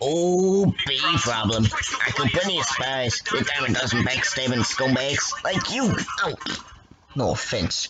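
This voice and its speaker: Putting on a character voice, a man talks at a fairly slow pace in a fairly high pitch with lively intonation. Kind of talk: amateur fan-dub impression.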